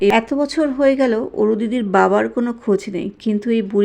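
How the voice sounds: Pitch moves in an ordinary way here. The reading voice is natural.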